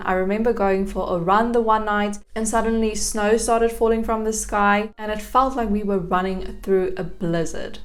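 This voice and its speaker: A fairly high-pitched woman at a moderate pace, with fairly even intonation amid audible room echo. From South Africa, Gauteng. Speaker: YouTube vlogger. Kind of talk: casual vlog talk to camera.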